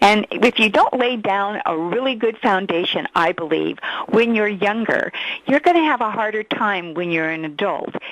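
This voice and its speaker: A woman speaks at a fairly high pitch with very wide pitch swings. The sound is dry and close with no echo, though there is noticeable background noise. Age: 60s. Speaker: facial exercise program creator. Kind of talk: interview.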